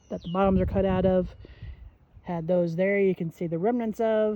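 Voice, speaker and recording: The intonation is monotone and flat. Noticeable background noise is present. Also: woman. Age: 60s. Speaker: gardening vlogger. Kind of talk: casual how-to vlog. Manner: casual, conversational.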